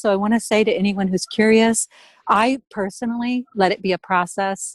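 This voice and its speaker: In an ordinary speaking voice, a woman with an American accent talks at a medium pitch with fairly even intonation. The sound is dry and close with no echo, and the recording is very clean with a silent background. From US Midwest. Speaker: artist, writer and former journalist. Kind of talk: interview.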